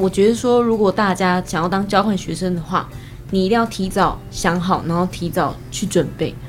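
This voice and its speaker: A woman at a medium pitch and moderate pace, with ordinary pitch variation and noticeable background noise. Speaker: university student. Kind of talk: casual chat.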